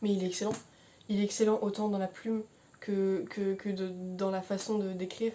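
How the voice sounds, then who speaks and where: A woman's mumbling at medium pitch, in a monotone, flat intonation. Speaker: book reviewer youtuber. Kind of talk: book review monologue. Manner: fast; mumbles words, hesitant.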